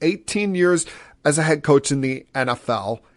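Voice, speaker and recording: A man with an American accent and a fairly high pitch speaks in a passionate tone. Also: quiet background. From New Jersey, USA. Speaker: sports-talk podcast host. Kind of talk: sports-talk podcast monologue. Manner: passionate, opinionated.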